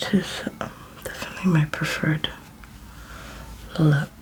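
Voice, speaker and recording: A woman whispering in a gentle tone over noticeable background noise. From London, England. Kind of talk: ASMR get ready with me makeup tutorial, casual talk to camera. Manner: soft-spoken, gentle, real time.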